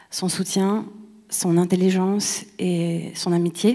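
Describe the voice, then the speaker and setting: A dark, mellow tone colors the voice. The intonation is monotone and flat. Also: woman. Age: 30s. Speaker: actress and playwright. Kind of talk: award acceptance speech. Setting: stage with audience.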